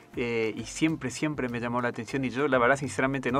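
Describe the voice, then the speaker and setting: Here a man speaks in an unremarkable speaking voice at a medium pitch. He moves at a fairly quick pace with ordinary pitch variation. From Argentina, Misiones province. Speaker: army dentist. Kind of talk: radio interview.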